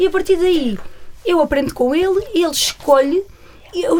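Over noticeable background noise, a woman's pitch swings very widely. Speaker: nurse and parent of deaf child. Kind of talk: interview conversation. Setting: studio.

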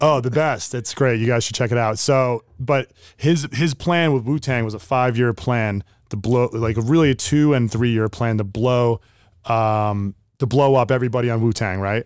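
A man with an American accent speaks in an unremarkable speaking voice at medium pitch with ordinary pitch variation, on a very clean recording with a silent background. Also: moderate pace. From North New Jersey (Sparta). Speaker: real estate agent. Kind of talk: interview.

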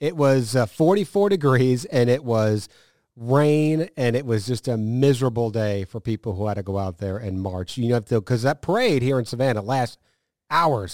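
A man with an American accent speaks in a plain, everyday voice at a medium pitch and moderate pace. The recording is very clean with a silent background. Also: lively intonation. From northern US. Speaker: TV meteorologist. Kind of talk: casual chat. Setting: studio.

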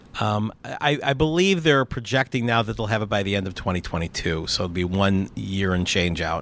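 A man's unremarkable speaking voice, fairly low in pitch, at a moderate pace with lively intonation and hardly any pauses. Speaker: crypto investor and entrepreneur. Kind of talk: casual interview. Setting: outdoors on a rooftop terrace.

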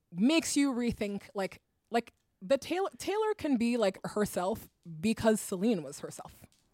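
A woman talks at a moderate pace, her pitch swinging very widely. Her loudness also swings a lot, and the sound is dry and close with no echo. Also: fairly high pitch for a woman. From Guinea, West Africa and Europe. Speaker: writer and podcast host. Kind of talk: casual chat.

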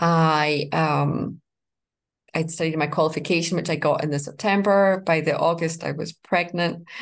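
Speaking with a Scottish accent, a woman keeps a fairly low pitch in flat, monotone intonation. The background is quiet. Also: moderate pace. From Scotland. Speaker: life coach. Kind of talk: interview.

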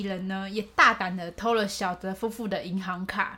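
A woman at a fairly high pitch and a moderate pace. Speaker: podcast co-host. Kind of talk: case storytelling. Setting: home recording in co-host's room. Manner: raises pitch slightly when recording.

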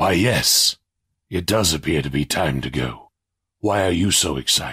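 Delivered at a moderate pace, the speech has lively intonation and very even loudness. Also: man, very deep, low pitch for a man. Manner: warm, gently stern.

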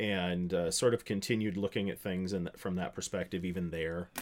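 An American accent from a man, recorded very cleanly with a silent background. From US, small town. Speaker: pastor. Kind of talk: casual chat.

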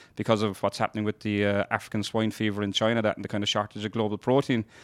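A man with a Kerry accent speaks very fast in a fairly low, monotone, flat voice. The sound is dry and close with no echo, in a very clean recording with a silent background. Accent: Kerry Irish. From Ireland, North Kerry. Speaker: dairy farmer. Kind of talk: interview.

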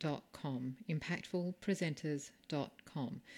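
Recorded very cleanly against a silent background, a woman with a very deep, low pitch speaks with an Australian accent. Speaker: podcast host and speaking coach. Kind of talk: interview.

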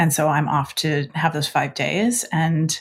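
A woman speaks in a somewhat breathy voice. The recording is very clean, with a silent background. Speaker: podcast host. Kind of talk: interview.

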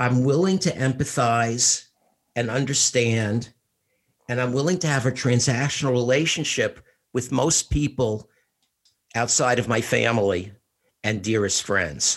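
In a New York accent, a man talks at a fairly slow pace with ordinary pitch variation. His loudness stays very even against a quiet background. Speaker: podcast co-host, retired school administrator. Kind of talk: casual interview conversation.

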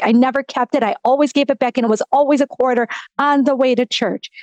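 The recording is dry and close, with no echo. A woman talks at a high pitch with fairly even intonation. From US Midwest, Wisconsin. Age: 50s. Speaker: sports nonprofit executive. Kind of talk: testimony.

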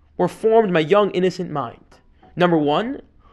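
Just plain reading aloud.

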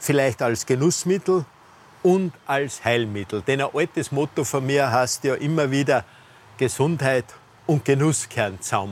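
This man speaks fairly slowly at a fairly high pitch, with ordinary pitch variation. He has an ordinary speaking voice, and his loudness stays very even. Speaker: physician and health show host. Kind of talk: casual conversational interview. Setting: outdoors in a rooftop garden.

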